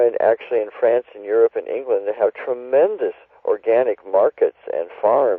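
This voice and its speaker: A man speaks at a moderate pace. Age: 60s. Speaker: author and ecology activist. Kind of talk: interview.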